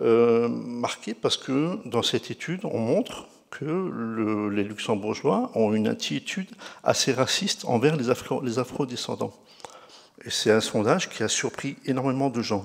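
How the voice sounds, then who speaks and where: The man's intonation is lively while his delivery stays fairly slow. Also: medium pitch for a man. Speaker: researcher presenting a study. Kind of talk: conference talk. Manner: halting, many fillers and restarts.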